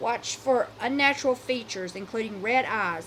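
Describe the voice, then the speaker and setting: Noticeable background noise accompanies a woman whose intonation is lively and whose pace is moderate. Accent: American. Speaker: podcast host. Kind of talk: horror story reading.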